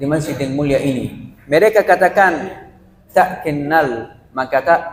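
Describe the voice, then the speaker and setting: This man has a fairly high pitch and ordinary pitch variation. He talks at a very slow pace. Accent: Arabic. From Palestine, Gaza. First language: Arabic (speaking Indonesian). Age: 20s. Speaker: Quran reciter and student giving mosque talk. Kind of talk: religious talk to congregation. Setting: mosque.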